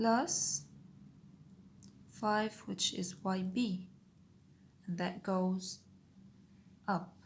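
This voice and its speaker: A woman with a non-native accent and a medium pitch speaks at a very slow pace, leaving long, frequent pauses. Her voice is somewhat breathy, with fairly even intonation. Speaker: engineering tutor, video creator. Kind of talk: tutorial. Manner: step-by-step, occasionally self-correcting.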